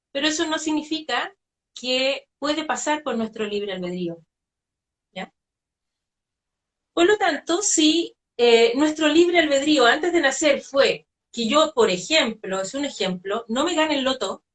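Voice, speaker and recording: A woman with a high pitch speaks at a fairly slow pace, leaving long, frequent pauses. Her pitch swings very widely. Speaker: spiritual medium. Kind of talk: interview conversation.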